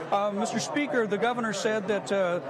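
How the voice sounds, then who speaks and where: A man talks loudly at a fairly quick pace over noticeable background noise. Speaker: public TV broadcast anchor. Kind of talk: live broadcast commentary. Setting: live event floor, noisy chamber. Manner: loud, speaking over noise.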